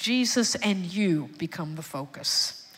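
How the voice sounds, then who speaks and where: In a Texan accent, a woman speaks in an animated tone with lively intonation. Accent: Texan Southern US. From Texas, Houston. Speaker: psychiatrist. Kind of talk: sermon-style testimony, evangelical preaching in full flow to a church congregation. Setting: church stage with congregation. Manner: animated, rising call-and-response cadence with rhetorical questions; emphatic repetition, building passion.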